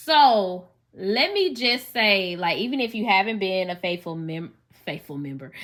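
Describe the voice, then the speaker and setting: A woman with a Southern US accent, lively in intonation, at a fairly slow pace. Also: medium pitch for a woman. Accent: Southern US, country. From US South, Memphis, Tennessee. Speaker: podcast host and teacher. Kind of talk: personal testimony podcast monologue. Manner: casual, conversational.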